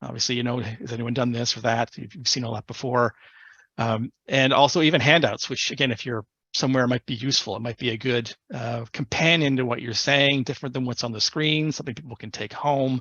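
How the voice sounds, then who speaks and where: Speaking fairly quickly, a man keeps his medium-pitched voice fairly even in intonation. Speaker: presentation skills speaker. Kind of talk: online presentation. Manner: fast.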